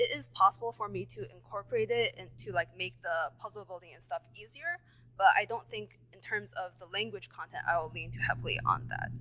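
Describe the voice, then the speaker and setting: A woman talks at a fairly quick pace. Her loudness swings widely. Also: hardly any pauses. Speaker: student pitching a startup. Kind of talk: pitch Q&A. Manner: halting.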